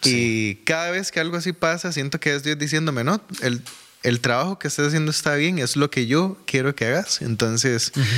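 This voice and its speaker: At a fairly quick pace, a man with a fairly high, bright, sharp voice keeps very even loudness and ordinary pitch variation. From Costa Rica, Desamparados. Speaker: church administrator and music minister. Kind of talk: casual interview.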